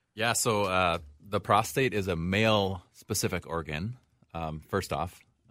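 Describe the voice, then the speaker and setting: A man with an American accent, a very deep, low pitch, a bright, sharp tone, ordinary pitch variation and a fairly slow pace. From Wisconsin (western, near Eau Claire). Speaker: urologist. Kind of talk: radio call-in discussion. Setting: radio studio.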